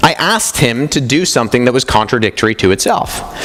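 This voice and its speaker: Through noticeable background noise, a man moves along at a fairly quick pace. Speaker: apologetics speaker. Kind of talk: conference talk.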